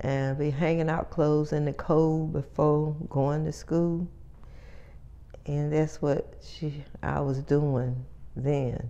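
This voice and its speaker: Speaking at a very slow pace with an American accent, a woman has a very deep, low pitch, a dark, mellow tone and monotone, flat intonation. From North Carolina, USA. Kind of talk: oral history interview answer.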